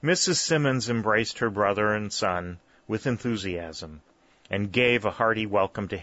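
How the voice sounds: Natural reading with normal rises and falls in pitch.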